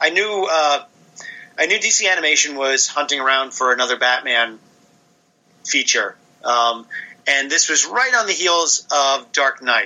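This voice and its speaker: With noticeable background noise behind him, a man talks at a moderate pace in a fairly high voice with ordinary pitch variation. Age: 40s. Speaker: comic book writer and artist. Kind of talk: interview.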